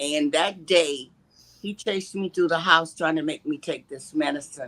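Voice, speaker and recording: A woman's very deep, low voice with a bright, sharp tone and ordinary pitch variation. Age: 70s. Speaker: abuse survivor sharing her story. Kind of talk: testimony.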